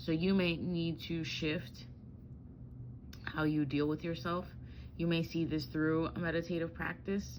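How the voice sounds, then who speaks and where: In a very deep, low voice, a woman speaks in a monotone, flat way with long, frequent pauses and audible room echo. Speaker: tarot reader. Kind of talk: tarot reading. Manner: casual, halting with fillers.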